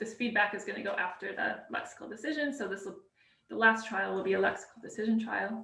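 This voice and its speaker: A woman speaks at a medium pitch with vocal fry. Her intonation is lively. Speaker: workshop presenter. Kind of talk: live coding tutorial. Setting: live stream. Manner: fast; hesitant, many fillers.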